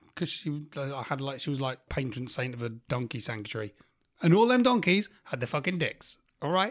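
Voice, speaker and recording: A fairly high-pitched man with a British accent and lively intonation, fairly quick in pace, on a very clean recording with a silent background. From UK. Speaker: podcast host. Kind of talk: casual chat. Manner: animated.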